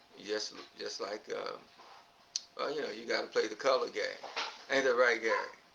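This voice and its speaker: Over noticeable background noise, a man talks at a moderate pace, with long, frequent pauses. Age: 70s. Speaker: podcast host. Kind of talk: casual chat.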